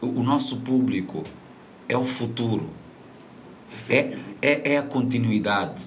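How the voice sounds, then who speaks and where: Pausing long and often at a fairly slow pace, a man with medium pitch sounds animated amid noticeable background noise and audible room echo. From Mozambique. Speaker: media presenter and voice-over artist. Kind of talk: interview. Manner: halting.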